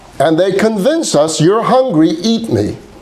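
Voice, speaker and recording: Very wide pitch swings from a man, plus noticeable background noise and audible room echo. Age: 60s. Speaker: rabbi teaching a class. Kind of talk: lecture. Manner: animated.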